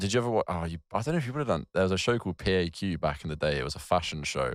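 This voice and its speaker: Very deep and low, a man's voice carries a southern English accent and lively intonation in a dry, close sound with no echo, on a very clean recording with a silent background. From southern England, New Forest. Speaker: photographer and videographer. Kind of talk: casual chat. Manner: halting.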